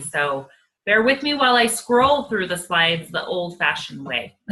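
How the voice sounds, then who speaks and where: Here is a woman with an ordinary speaking voice. Her intonation is lively and her pace moderate. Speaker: network marketing presenter. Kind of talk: sales pitch.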